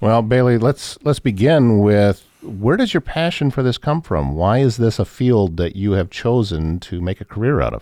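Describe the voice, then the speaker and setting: Speaking at a moderate pace with hardly any pauses, a man with an American accent has a dark, mellow tone, medium pitch and lively intonation. The sound is dry and close with no echo, over a quiet background. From northwest Iowa. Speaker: podcast host. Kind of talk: interview. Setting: studio.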